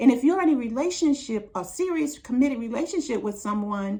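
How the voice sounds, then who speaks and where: A woman speaks high with an American accent. Her pitch swings very widely. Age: 60s. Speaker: relationship advice vlogger. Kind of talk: monologue to camera.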